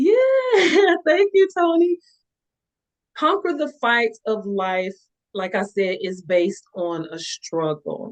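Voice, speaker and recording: With a Southern US accent, a woman speaks at a very slow pace in a high voice that swings very widely in pitch. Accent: Southern drawl. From US South, Panama City, Florida. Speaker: author and motivational speaker. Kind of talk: interview.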